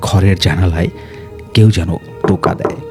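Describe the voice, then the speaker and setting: Music plays behind the speech. The man talking has a fairly low voice. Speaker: radio jockey. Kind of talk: horror story narration.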